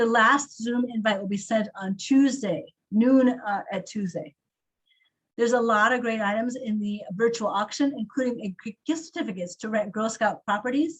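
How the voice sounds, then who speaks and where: There is some breathiness in the voice. The pitch moves up and down an ordinary amount. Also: woman, fairly high pitch for a woman. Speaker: council staff running volunteer meeting. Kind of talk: online meeting update. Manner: fast.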